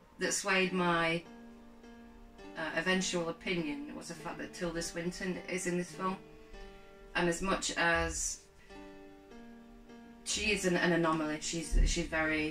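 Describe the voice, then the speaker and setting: Clear music plays in the background as a woman speaks at a fairly slow pace with long, frequent pauses. Her pitch is fairly low, with ordinary variation. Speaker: film reviewer. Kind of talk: casual review chat. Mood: amused, laughing. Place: home room.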